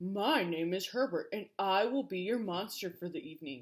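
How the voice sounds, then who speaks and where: A woman puts on a growling, breathy character voice at a medium pitch and a moderate pace. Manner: polite, formal introduction.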